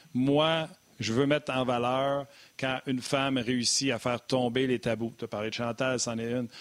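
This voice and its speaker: A man at medium pitch with monotone, flat intonation and a moderate pace. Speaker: sports talk show co-host. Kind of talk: casual chat.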